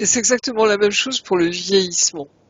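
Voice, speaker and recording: A woman's medium-pitched voice with ordinary pitch variation against noticeable background noise. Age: 60s. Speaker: regressive hypnosis practitioner. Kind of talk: casual chat.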